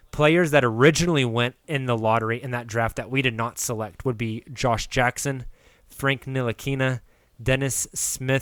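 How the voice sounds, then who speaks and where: This man has an unremarkable speaking voice, medium in pitch, delivered at a moderate pace with fairly even intonation. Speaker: podcast host. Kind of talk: casual sports chat.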